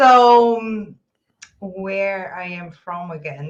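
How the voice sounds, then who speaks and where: A woman speaks with a Brazilian Portuguese accent. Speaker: podcast guest, host's spouse. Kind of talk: casual chat.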